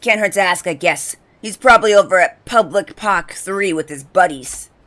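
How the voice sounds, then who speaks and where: In a raspy, put-on character voice, a female-sounding speaker talks at a middle pitch and a moderate pace. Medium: game stream.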